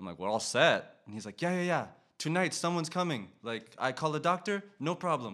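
The voice has a bright, sharp tone and an American accent at a fairly quick pace, with very wide pitch swings and big swings in loudness. The recording is very clean, with a silent background. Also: man, fairly high pitch for a man. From US South, Tallahassee, Florida. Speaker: master's student. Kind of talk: casual interview.

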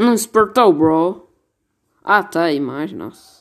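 Very slowly, a man speaks at a high pitch with very wide pitch swings. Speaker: amateur podcaster, youtuber. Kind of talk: casual chat.

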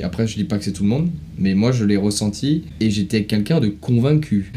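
A man's voice with lively intonation. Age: 20s. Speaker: podcast guest. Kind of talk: casual chat.

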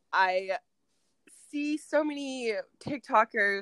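In a dry, close sound with no echo, a woman with a slight Midwestern US accent speaks in a bright, sharp tone. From US Midwest. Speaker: podcast host. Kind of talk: casual chat. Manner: chatty, animated.

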